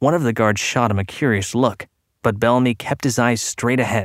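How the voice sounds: Against a quiet background, the clip has a natural reading voice.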